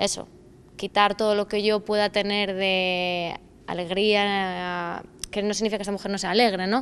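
Over light background noise, a woman speaks at a moderate pace with monotone, flat intonation. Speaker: actress describing her character. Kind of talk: interview answer. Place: stage.

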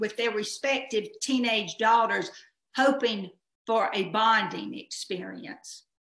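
A woman with a bright, sharp tone speaks at a fairly slow pace over a quiet background, with audible room echo. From Southern United States. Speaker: hobbyist storyteller. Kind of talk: personal story performance. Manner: humorous. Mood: humorous, lively. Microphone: webcam.

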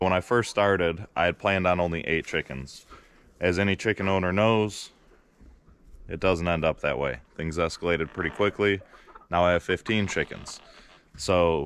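A man with a very deep, low pitch talks at a moderate pace, with long, frequent pauses. The sound is dry with no echo, with light background noise. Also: ordinary pitch variation. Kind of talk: casual vlog chat. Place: forest. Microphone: phone near.

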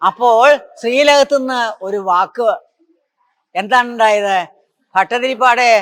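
Extremely high in pitch, a man speaks with a bright, sharp tone and ordinary pitch variation. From southern Kerala, Thiruvananthapuram. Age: 80s+. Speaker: Narayaneeyam teacher. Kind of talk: religious storytelling talk. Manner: halting.

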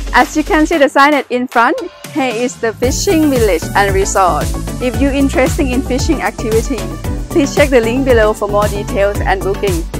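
A woman speaks at a moderate pace in a dry sound with no echo while clear music plays in the background. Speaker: venue tour host. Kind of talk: casual vlog chat. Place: garden. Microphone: phone near.

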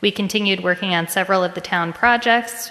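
Here a woman talks. She moves along at a fairly quick pace. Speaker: town council member. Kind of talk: reading a report aloud at public meeting. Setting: town hall meeting with public present. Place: hall.

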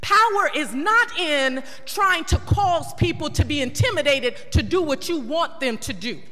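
Over faint background music, a woman speaks at a moderate pace in a raised, projected voice. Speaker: city council member. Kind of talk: heated council debate speech. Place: hall. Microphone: podium.

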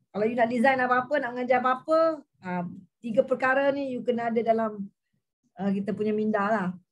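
A woman's high voice at a very fast pace over a quiet background. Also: ordinary pitch variation. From Malaysia. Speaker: teacher training lecturer, participant; teacher training lecturer. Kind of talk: casual discussion. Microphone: video call.

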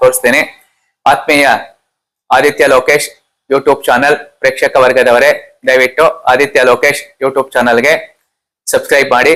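A man's bright, sharp tone at a fairly high pitch. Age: 60s. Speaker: antique coin collector. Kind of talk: self-introduction.

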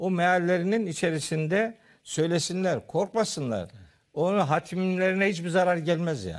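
A man speaks in a high voice at a moderate pace, with ordinary pitch variation. The background is quiet. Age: 60s. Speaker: theology professor. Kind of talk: religious discussion. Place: studio. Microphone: lapel.

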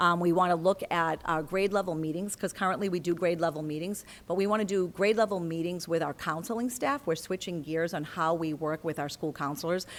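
A woman speaks at a fairly quick pace with hardly any pauses, her pitch fairly low with ordinary variation. The recording is very clean and the background silent. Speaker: school district administrator. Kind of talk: presentation at public meeting. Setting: school committee meeting. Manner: fast.

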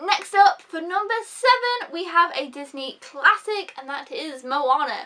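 Bright and sharp in tone, a woman raises and projects her voice. Her pitch swings very widely. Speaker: film reviewer. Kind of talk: casual vlog chat. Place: home room. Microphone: phone near.

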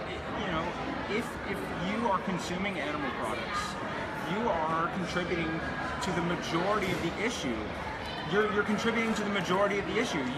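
A man at a very fast pace with long, frequent pauses over loud background noise. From Texas. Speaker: environmental filmmaker. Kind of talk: casual interview. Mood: earnest, persuasive. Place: hall. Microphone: phone near.

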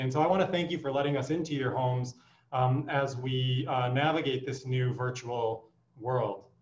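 A man at a moderate pace with fairly even intonation and audible room echo. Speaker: physician host. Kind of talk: welcome address. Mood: warm, welcoming. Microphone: video call.

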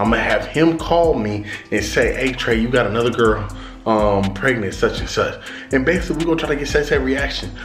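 Clear music can be heard behind the voice. A man speaks at a fairly quick pace. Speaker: prank channel vlogger. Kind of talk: casual vlog chat. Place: home room.

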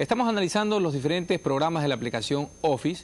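Speaking fairly quickly, a man keeps his pitch variation ordinary. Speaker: TV course host. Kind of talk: educational TV presentation. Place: studio. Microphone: lapel.

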